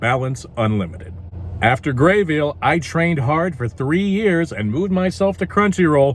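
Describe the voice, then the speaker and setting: At a moderate pace, a somewhat breathy voice moves through very wide pitch swings. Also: man. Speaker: voice actor. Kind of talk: casual talk to camera.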